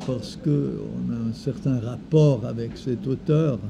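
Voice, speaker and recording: The speech comes at a very slow pace, with audible room echo around it. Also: man. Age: 70s. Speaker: former creativity trainer. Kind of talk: personal reflective talk. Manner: halting.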